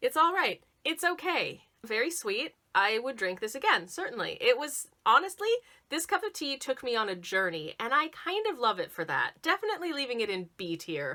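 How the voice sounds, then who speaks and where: Her high voice carries very wide pitch swings as this woman speaks in a raised, projected way. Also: moderate pace. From Canada, Southern Ontario. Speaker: YouTuber, tea taster. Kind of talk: casual tasting review vlog. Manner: chatty, halting with self-corrections.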